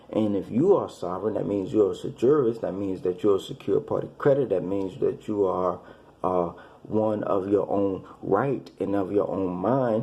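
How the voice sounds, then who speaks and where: A man's dark, mellow tone sits at a fairly low pitch. He keeps a moderate pace, with audible room echo around him. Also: ordinary pitch variation. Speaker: religious commentator. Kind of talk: monologue lecture. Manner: halting, repetitive.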